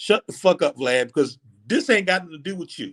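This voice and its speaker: A man with a high pitch and an animated tone speaks at a fairly quick pace, in a very clean recording with a silent background and a dry, close sound with no echo. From United States. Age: 50s. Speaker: commentary vlogger. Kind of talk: angry rant to camera. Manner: animated, emphatic.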